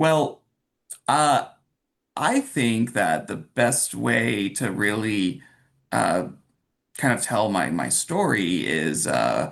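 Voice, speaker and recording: A man with a Californian accent speaks at a fairly low pitch with vocal fry and very wide pitch swings. Long, frequent pauses break up his speech against a quiet background. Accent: Californian American. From Los Angeles (La Crescenta). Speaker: workplace wellness officer. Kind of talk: interview podcast conversation. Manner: halting with frequent repetitions.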